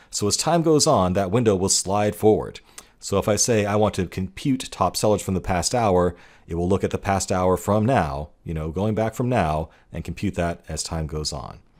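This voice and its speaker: Heard in a very clean recording with a silent background, a man uses a normal speaking voice with fairly low pitch, lively intonation, and a moderate pace. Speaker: online course instructor. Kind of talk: lecture.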